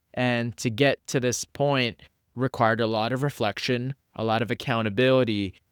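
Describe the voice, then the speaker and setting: A man at medium pitch and moderate pace, fairly even intonation, in a very clean recording with a silent background and a dry, close sound with no echo. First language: not English. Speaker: podcaster and psychology student. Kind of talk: casual interview chat.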